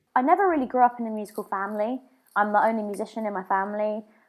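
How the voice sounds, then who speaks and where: Very fast pace and fairly even intonation on a very clean recording with a silent background. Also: woman. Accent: southern English. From England, Brighton. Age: 20s. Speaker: drummer. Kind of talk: casual chat.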